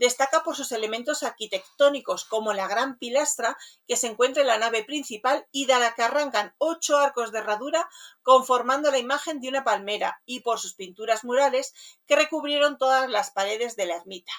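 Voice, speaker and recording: Speaking at a high pitch with ordinary pitch variation, a woman moves at a fairly quick pace. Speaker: radio host. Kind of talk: radio show presentation.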